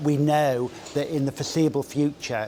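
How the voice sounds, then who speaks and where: Noticeable background noise sits behind a man whose fairly high voice holds a monotone, flat intonation. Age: 60s. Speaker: public health director. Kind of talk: interview.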